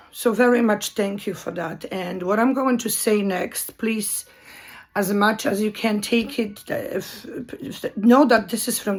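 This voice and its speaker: A woman speaks at medium pitch with a Polish accent and ordinary pitch variation. She goes at a fairly slow pace over noticeable background noise. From Poland. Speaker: video commentator. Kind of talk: monologue commentary. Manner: halting.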